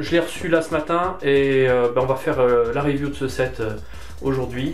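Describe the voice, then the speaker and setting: With music in the background, a man speaks at a medium pitch and ordinary pitch variation. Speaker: LEGO reviewer. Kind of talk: casual talk to camera.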